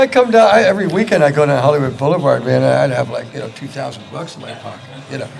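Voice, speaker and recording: A man talks very fast with an American accent. The room echoes audibly, and background noise is noticeable. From San Francisco, US. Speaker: rock guitarist. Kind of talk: casual chat. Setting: radio studio. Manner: animated.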